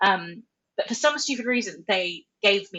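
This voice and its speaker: Someone speaks in an Australian accent with ordinary pitch variation. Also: woman. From Australia, Central Coast NSW. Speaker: charity marketing director. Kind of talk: podcast interview.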